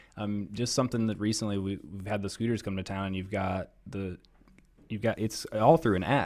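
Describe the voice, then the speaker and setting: A man with an American accent, fairly low pitch, ordinary pitch variation and a moderate pace, on a very clean recording with a silent background. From US Midwest, Columbus, Ohio. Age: 30s. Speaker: mayoral candidate, businessman. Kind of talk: interview.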